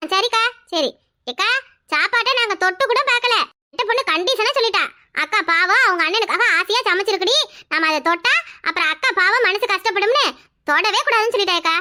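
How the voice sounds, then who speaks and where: In a cartoonish character voice, a woman speaks at an extremely high pitch with lively intonation and very even loudness. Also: moderate pace. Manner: polite, respectful.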